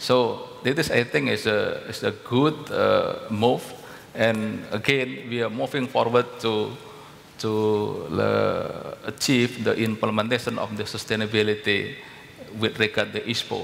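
A man with an Indonesian accent talks at a fairly slow pace. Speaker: palm oil company director; panelist. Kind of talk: panel discussion. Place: hall. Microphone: headset.

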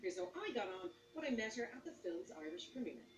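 A woman's voice with very wide pitch swings, light background noise and audible room echo. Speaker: TV presenter. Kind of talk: TV presenting to camera. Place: street.

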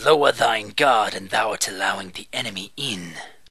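At a moderate pace, someone performs a put-on character voice. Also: man, fairly low pitch for a man. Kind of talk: video game dub.

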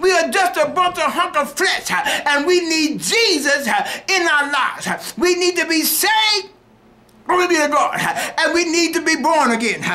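A raised, projected voice with a bright, sharp tone, ordinary pitch variation, very even loudness and a moderate pace. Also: man, extremely high pitch for a man. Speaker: preacher. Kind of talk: fervent radio altar-call sermon, pleading with listeners to get saved now. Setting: radio broadcast. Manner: impassioned, rhythmic whooping cadence punctuated by huh and hallelujah; repetitive, urgent exhortation. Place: studio. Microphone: studio mic.

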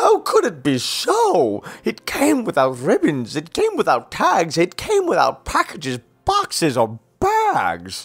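Growling in a put-on character voice, a man speaks at a fairly slow pace. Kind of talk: comic character acting in an audiobook. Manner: snarling, sneering, scheming.

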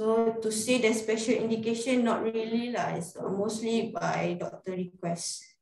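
Audible room echo surrounds a woman speaking at a moderate pace with hardly any pauses. Her pitch is fairly high, and her intonation is fairly even. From Malaysia. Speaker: radiographer. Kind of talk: webinar presentation. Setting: video call. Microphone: webcam.

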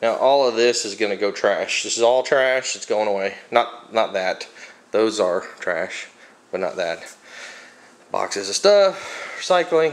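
At a fairly slow pace, a man is talking. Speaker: home vlogger. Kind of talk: casual vlog chat. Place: garage. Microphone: phone near.

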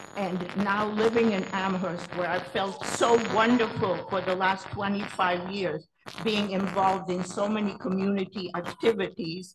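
A woman speaks at a fairly slow pace in a monotone, flat voice, with hardly any pauses. Noticeable background noise runs underneath. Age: 80s+. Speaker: Holocaust survivor giving public comment. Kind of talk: public comment at town meeting. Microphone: video call.

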